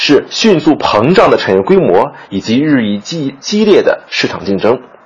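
There is noticeable background noise as a man with a fairly high pitch swings very widely in pitch. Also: hardly any pauses. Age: young. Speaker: theatre critic. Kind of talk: scripted commentary.

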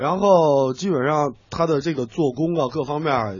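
A man speaks at a fairly high pitch with ordinary pitch variation. He sounds somewhat breathy and talks at a fairly slow pace. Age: 30s. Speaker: radio commentator and editor. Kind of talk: radio talk show chat.

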